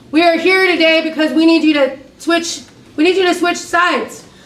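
Woman at an extremely high pitch and moderate pace, with audible room echo

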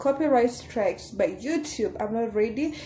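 A woman with lively intonation at a fairly slow pace, music in the background. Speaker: vlogger. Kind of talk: casual vlog chat. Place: home room. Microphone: phone near.

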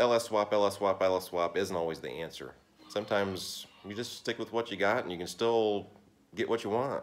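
A man speaks at a moderate pace with a fairly low pitch. The intonation is fairly even. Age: 40s. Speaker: car mechanic YouTuber. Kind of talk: casual vlog monologue. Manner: halting, with fillers. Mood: relaxed, mildly opinionated. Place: garage. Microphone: phone near.

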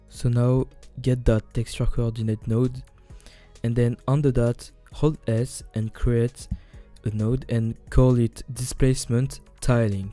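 A man with a non-native accent at a very slow pace, medium pitch and monotone, flat intonation, with music in the background. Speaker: 3D game artist. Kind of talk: software tutorial narration. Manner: casual, hesitant.

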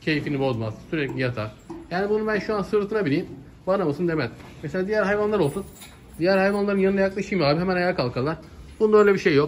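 A man's high-pitched voice, very fast and lively in intonation, with light background noise. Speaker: livestock seller. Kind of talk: casual vlog chat. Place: farm machine. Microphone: phone near.

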